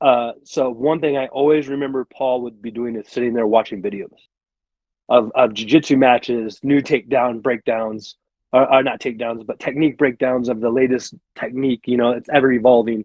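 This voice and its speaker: This man has a normal speaking voice with a medium pitch. He talks at a fairly quick pace, and his intonation stays fairly even. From Arizona, moved from Michigan at 16. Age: 40s. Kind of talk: casual podcast interview. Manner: conversational with many fillers.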